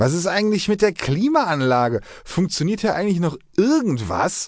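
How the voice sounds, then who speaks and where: Against a quiet background, a man speaks at a fairly slow pace in an animated, theatrical tone with very wide pitch swings. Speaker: audiobook narrator. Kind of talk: dramatic audiobook narration with character voices, gritty and crude. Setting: studio. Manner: animated, gruff, theatrical, snarling and sarcastic in dialogue.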